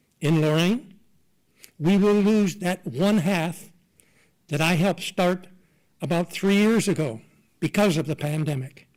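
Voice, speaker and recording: Pitched high, a man speaks at a moderate pace. His pitch variation is ordinary. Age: 80s+. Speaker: veterans organization officer speaking at public comment. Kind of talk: public comment at a government meeting. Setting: public board meeting room. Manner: loud.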